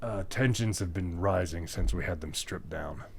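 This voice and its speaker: A man uses a put-on character voice with a very deep, low pitch. He talks at a moderate pace over clear background noise. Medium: actual play. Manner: hesitant, rambling.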